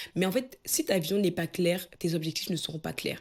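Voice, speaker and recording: A woman's somewhat breathy voice, with fairly even intonation, comes through on a very clean recording with a silent background. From Cameroon. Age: 20s. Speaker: personal development coach. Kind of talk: motivational talk to camera.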